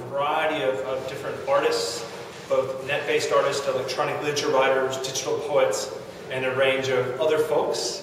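Strong room echo surrounds a man's voice, with light background noise underneath. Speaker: digital poet. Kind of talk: informal talk to camera. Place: office. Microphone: camera far.

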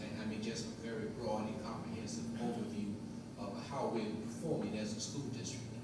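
Amid loud background noise and audible room echo, a man speaks at a moderate pace. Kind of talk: formal report to board. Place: hall.

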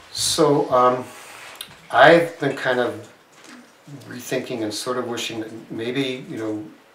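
Light background noise and audible room echo surround the recording. A man speaks at a fairly slow pace. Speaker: select board chair; board member reporting. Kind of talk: public meeting. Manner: halting. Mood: calm, thoughtful, hesitant. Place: meeting room. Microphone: camera far.

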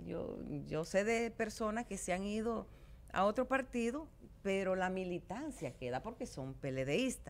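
At a fairly slow pace, a woman talks at a medium pitch with very wide pitch swings. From Dominican Republic. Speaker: politician. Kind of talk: interview. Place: studio. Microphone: studio mic.

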